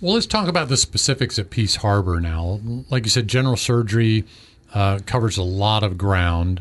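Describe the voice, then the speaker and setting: A man with an unremarkable speaking voice talks at a moderate pace and a fairly low pitch, with ordinary pitch variation. His loudness stays very even against a quiet background. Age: 50s. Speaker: health show host. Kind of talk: health interview.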